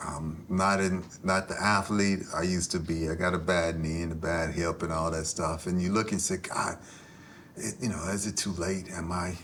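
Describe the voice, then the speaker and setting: Amid noticeable background noise, a man with a very deep, low pitch talks at a moderate pace with fairly even intonation. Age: 50s. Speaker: author and former football player. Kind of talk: podcast interview. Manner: halting.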